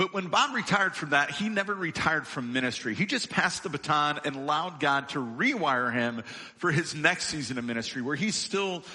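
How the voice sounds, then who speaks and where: A normal speaking voice from a man, fairly high in pitch, with ordinary pitch variation and a moderate pace. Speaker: lead minister. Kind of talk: church welcome and introduction. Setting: church.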